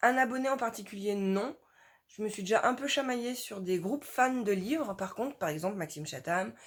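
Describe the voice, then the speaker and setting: A woman talks at a moderate pace with very wide pitch swings. The recording is very clean with a silent background. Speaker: book YouTuber. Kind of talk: casual vlog talk. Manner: animated.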